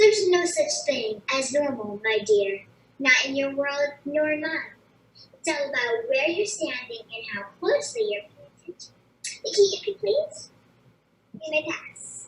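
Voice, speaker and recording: A high-pitched, put-on character voice comes through with a slight echo. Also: moderate pace. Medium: stage play. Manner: dry, measured.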